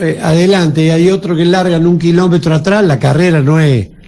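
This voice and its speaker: Moving at a moderate pace, the voice has a dark, mellow tone. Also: man. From Argentina, San Luis (Villa Mercedes). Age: 60s. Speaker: politician. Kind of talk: radio interview.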